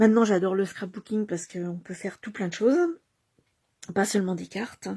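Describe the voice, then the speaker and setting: A woman with a dark, mellow tone and a medium pitch speaks softly and somewhat breathily at a fairly quick pace, with fairly even intonation and big swings in loudness. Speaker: craft demonstrator. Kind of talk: craft tutorial livestream. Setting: home at night. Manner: soft-spoken; halting, many fillers.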